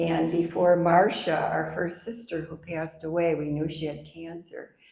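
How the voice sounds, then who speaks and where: A woman with a very deep, low pitch speaks at a fairly slow pace in a flat monotone. Room echo is audible. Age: 80s+. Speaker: author. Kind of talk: book discussion.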